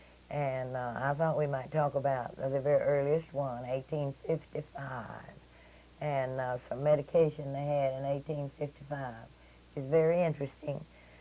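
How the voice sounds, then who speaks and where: Flat and monotone, a woman with an East Texas accent speaks at a moderate pace in a very deep, low pitch. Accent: East Texas Southern. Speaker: local historian. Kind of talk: radio interview. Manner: hesitant, many fillers.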